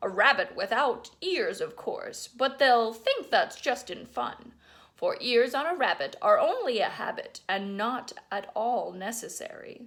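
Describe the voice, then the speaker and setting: A put-on character voice from a woman, pitched high and delivered fairly slowly. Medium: read story.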